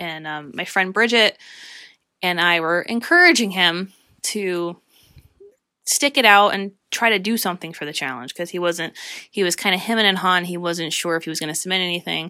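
A woman's bright, sharp, fairly low voice with an American accent, ordinary pitch variation and a moderate pace, on a very clean recording with a silent background. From Pennsylvania. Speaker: podcast host and filmmaker. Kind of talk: solo podcast talk. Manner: frequent fillers (um).

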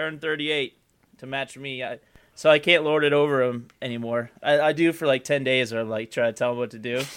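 In an unremarkable speaking voice, a man at medium pitch talks at a fairly quick pace with fairly even intonation and big swings in loudness. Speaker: podcast co-host. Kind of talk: casual banter, crude humor. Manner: profane, joking.

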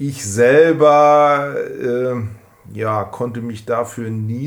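A man speaks at a very slow pace with fairly even intonation. Room echo is audible. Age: 40s. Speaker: scooter enthusiast. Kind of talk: casual interview. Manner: hesitant, many fillers.

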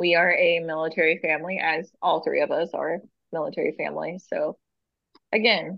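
This woman has a normal speaking voice, fairly low in pitch and delivered at a moderate pace. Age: 30s. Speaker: podcast host, book reviewer. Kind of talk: casual chat. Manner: laughing often.

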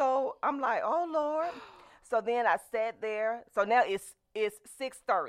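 This woman speaks in a Southern US accent with a high pitch. Her intonation is lively and her pace very slow. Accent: Southern US (Georgia). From US South, LaGrange, Georgia. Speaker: television station owner. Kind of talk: radio interview.

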